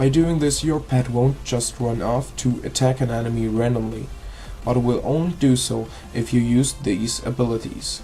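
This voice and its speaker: Speech comes at a moderate pace. Music plays in the background. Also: man. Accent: non-native. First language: not English. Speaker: gaming video creator. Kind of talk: tutorial. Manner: halting.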